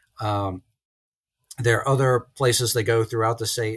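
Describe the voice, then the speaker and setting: Somewhat breathy and at medium pitch, a man with an American accent speaks with fairly even intonation. The sound is dry and close with no echo, on a very clean recording with a silent background. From central Virginia (Lynchburg). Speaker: business professor. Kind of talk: casual interview.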